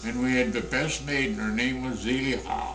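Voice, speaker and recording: A man talks at a moderate pace with audible room echo. Music plays in the background. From US Midwest. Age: 80s+. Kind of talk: interview. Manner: halting.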